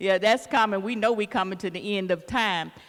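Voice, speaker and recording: A woman speaks at a moderate pace in an Arkansas accent with fairly even intonation. The recording is very clean, with a silent background. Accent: Southern US, Arkansas. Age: 70s. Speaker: city council member and evangelist. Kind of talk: public town hall comment.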